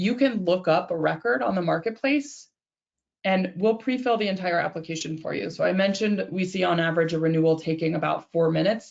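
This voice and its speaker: A woman with medium pitch speaks at a fairly quick pace. Her voice has vocal fry and ordinary pitch variation. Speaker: software company representative presenting to insurance brokers. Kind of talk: product demo webinar. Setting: webinar. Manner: fast.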